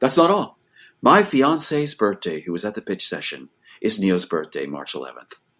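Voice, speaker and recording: This very clean recording with a silent background features a man at medium pitch with vocal fry. His pitch swings very widely and his loudness shifts a lot. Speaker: screenwriter. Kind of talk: interview. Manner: fast; animated.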